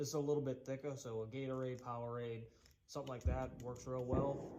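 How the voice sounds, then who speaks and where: Against noticeable background noise, a man with an American accent speaks at a moderate pace with fairly even intonation. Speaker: woodworking youtuber. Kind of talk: tutorial. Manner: casual, conversational.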